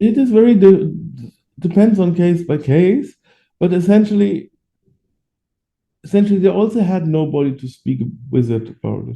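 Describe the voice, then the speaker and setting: With a German accent, a man with a high pitch and a dark, mellow tone speaks at a moderate pace, lively in intonation, with long, frequent pauses. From Germany. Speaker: adoptee rights activist. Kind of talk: interview. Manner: halting.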